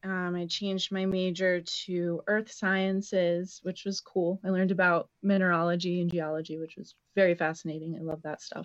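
Speaking in an American accent, a woman at medium pitch keeps a moderate pace in a plain, everyday voice. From Connecticut, New Haven County. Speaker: herbalist and shop owner. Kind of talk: casual chat.

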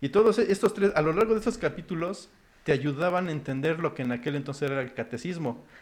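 Talking at a very fast pace, a man uses lively intonation and a fairly high pitch. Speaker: podcast co-host. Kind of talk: casual chat.

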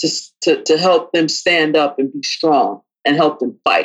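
A woman's very deep, low voice at a fairly slow pace, with fairly even intonation. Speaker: podcast co-host. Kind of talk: casual chat between spouses.

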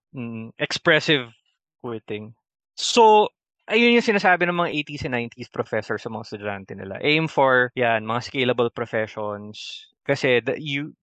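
A man talks at a fairly slow pace with medium pitch. He has a plain, everyday voice. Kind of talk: casual chat.

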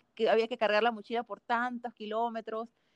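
A woman in a Panamanian accent talks at a fairly quick pace with a fairly high pitch, the sound dry and close with no echo. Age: 20s. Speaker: mountaineer. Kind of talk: casual interview.

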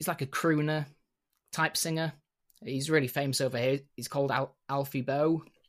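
Recorded very cleanly against a silent background, a man with a Yorkshire accent speaks fairly high with fairly even intonation. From Yorkshire, northern England. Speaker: hat maker. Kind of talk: casual chat.

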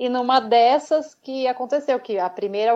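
A woman with an ordinary speaking voice talks at a moderate pace and fairly high pitch, with ordinary pitch variation. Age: 40s. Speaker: model and albinism advocate. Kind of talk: interview.

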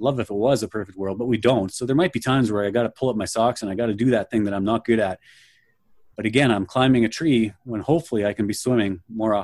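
Over a quiet background, a man with a Canadian Prairies accent and medium pitch talks at a very fast pace. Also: ordinary pitch variation. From Canada, near Winnipeg. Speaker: leadership coach. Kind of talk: interview. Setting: video call.

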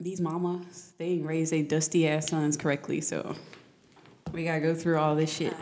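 A woman's very deep, low-pitched voice at a moderate pace, with monotone, flat intonation. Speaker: podcast guest. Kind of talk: casual chat.

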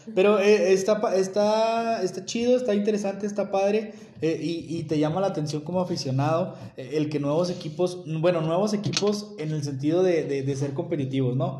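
A man speaks at a moderate pace in a high voice with ordinary pitch variation and hardly any pauses. The room echo is audible. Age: 30s. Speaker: NFL podcast co-host. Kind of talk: casual sports chat. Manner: animated.

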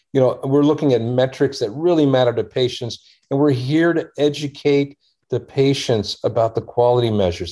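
With an American accent, a man speaks in a dark, mellow tone with ordinary pitch variation. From US, Washington D.C. area. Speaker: surgeon and health tech founder. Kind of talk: interview.

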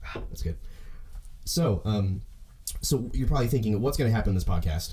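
A man's somewhat breathy voice with an American accent, at a fairly quick pace with ordinary pitch variation. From US South, Oklahoma. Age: 20s. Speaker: podcast host, percussion student. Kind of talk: solo podcast monologue. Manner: fast talker.

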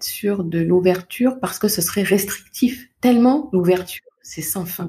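Very slowly and somewhat breathily, a woman speaks in a dark, mellow tone at medium pitch with lively intonation. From Paris region, France. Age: 30s. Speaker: parenting coach. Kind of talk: interview. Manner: soft-spoken.

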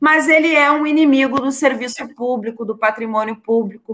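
A woman talks rather slowly in a bright, sharp tone. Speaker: state legislator. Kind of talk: casual political chat.

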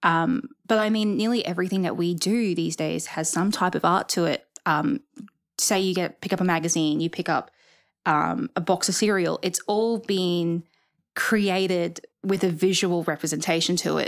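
A woman of medium pitch with an Australian accent, at a moderate pace with ordinary pitch variation, in a very clean recording with a silent background. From Rockhampton, central Queensland, Australia. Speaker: museum trainee. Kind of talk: casual interview.

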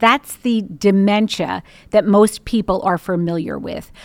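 In a very clean recording with a silent background and a dry, close sound with no echo, a woman with an unremarkable speaking voice talks fairly slowly at a medium pitch with ordinary pitch variation. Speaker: speech pathologist. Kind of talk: expert interview, explanatory.

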